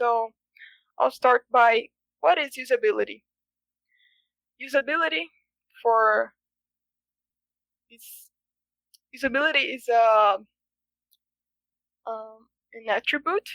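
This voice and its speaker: The speaker has a Brazilian Portuguese accent and a fairly slow pace, with long, frequent pauses. Loudness swings widely, and the sound is dry and close with no echo. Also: woman, high pitch for a woman, lively intonation. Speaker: software engineering student. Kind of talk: conference talk. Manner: halting, many fillers.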